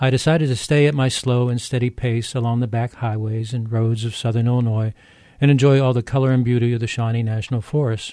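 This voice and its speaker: A man's dark, mellow voice at medium pitch, monotone and flat, delivered at a very fast pace over a quiet background. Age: 70s. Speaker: retired English professor, radio essayist. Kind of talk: scripted narration.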